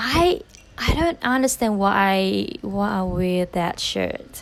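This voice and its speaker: Very slow female speech amid noticeable background noise. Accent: non-native. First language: not English. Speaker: barista vlogger. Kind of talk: voiceover commentary. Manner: hesitant, many ums.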